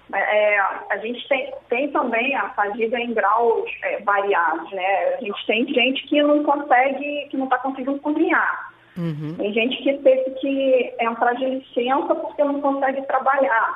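A woman's high voice moves with lively intonation at a fairly slow pace while noticeable background noise is heard. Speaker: cardiologist. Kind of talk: interview.

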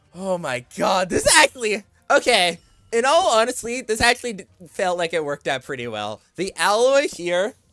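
With music in the background, the speaker talks at a moderate pace. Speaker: gaming YouTuber. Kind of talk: gameplay commentary. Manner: animated.

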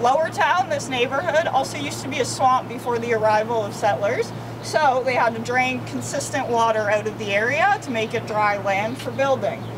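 There is noticeable background noise as a woman speaks at a moderate pace. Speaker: walking tour guide. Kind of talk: guided tour talk to a group. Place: street. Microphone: camera far.

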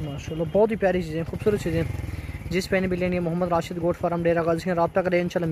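The sound is dry with no echo and carries light background noise. A man speaks in a high voice. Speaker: goat farm seller. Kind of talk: sales commentary. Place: farm machine. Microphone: phone near.

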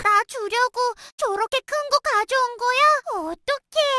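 A woman does a cartoonish character voice at an extremely high pitch, with an upbeat tone and a fairly slow pace. The sound is dry and close, with no echo. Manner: upbeat, cute.

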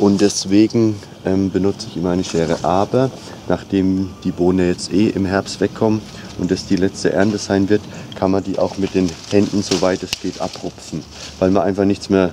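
The voice moves at a moderate pace with monotone, flat intonation. Noticeable background noise runs underneath. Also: man, very deep, low pitch for a man. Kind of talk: casual tutorial vlog. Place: garden.

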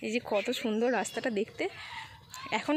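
Noticeable background noise sits behind a woman speaking. Her pitch is fairly high, with ordinary pitch variation. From West Bengal, India (Shyampur, Howrah area). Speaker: lifestyle vlogger, housewife. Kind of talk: vlog narration. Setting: outdoors.

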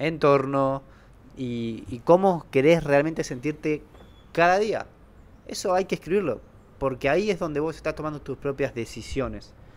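Pausing long and often, a man speaks at a moderate pace. His pitch is fairly high, with ordinary variation. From Argentina. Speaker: podcast co-host. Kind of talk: casual conversational podcast. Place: home room. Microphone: handheld.

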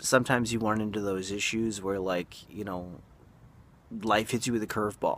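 A man speaks in a flat monotone at a fairly low pitch, the sound dry with no echo. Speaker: vlogger. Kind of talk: casual vlog chat.

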